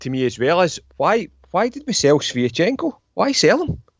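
A man speaks with a Scottish accent. His pitch swings very widely. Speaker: football podcast co-host. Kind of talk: casual chat.

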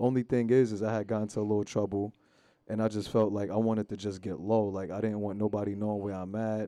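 A man with a New York accent, fairly low in pitch, very fast, with monotone, flat intonation, a dark, mellow tone and a quiet background. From New York, Long Island. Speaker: rapper. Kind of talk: casual interview.

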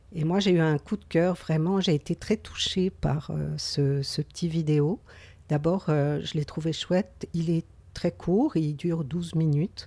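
A woman speaks at a very slow pace in a very deep, low pitch, with fairly even intonation and a dark, mellow tone. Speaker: podcast co-host, mental health community worker. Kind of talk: casual chat.

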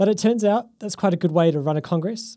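A man speaks at a high pitch with a dark, mellow tone. His pace is fairly quick, and the recording is very clean with a silent background. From New Zealand. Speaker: podcast host. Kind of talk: scripted narration.

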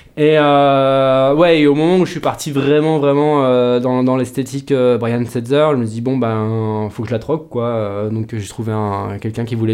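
In an ordinary speaking voice, a man talks at a medium pitch with ordinary pitch variation. His pace is fairly slow, with hardly any pauses. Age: 30s. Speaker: rockabilly guitarist. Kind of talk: casual interview chat. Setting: studio.

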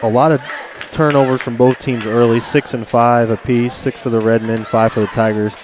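A man speaks over noticeable background noise. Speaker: color commentator and basketball official. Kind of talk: casual co-commentary during live game.

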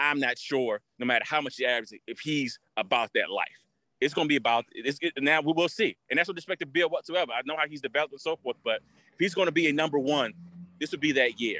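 Speaking at a very fast pace, a man uses a bright, sharp tone. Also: fairly high pitch for a man, ordinary pitch variation. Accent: American. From Washington D.C. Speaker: sneaker collector. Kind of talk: casual chat. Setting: outdoors.

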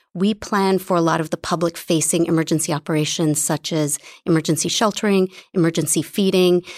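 An unremarkable speaking voice moves at a fairly quick pace with fairly even intonation, the sound dry and close with no echo. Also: woman, fairly low pitch for a woman. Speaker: city emergency management official. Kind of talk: interview answers.

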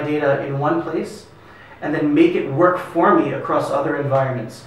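Amid noticeable background noise, a man with an American accent speaks fairly quickly in a fairly high voice with fairly even intonation. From US. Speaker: product marketing executive. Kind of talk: interview.

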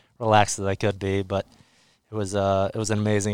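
On a very clean recording with a silent background and a dry, close sound with no echo, a man with an American accent speaks very fast in a fairly low pitch with monotone, flat intonation. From US Northeast, central New Jersey. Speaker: ice hockey player. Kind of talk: interview. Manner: hesitant, with fillers.

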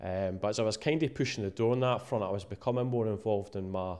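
A man speaks very fast with an eastern Scottish accent. His pitch is fairly low and his intonation fairly even. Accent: east of Scotland Scottish. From Scotland, Musselburgh near Edinburgh. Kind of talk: casual interview. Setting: cold downstairs room. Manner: halting, many fillers and repeats.

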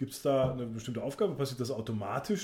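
This man's voice is somewhat breathy, with a dark, mellow tone and medium pitch. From Sauerland, Germany. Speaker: podcast host. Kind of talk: casual chat.

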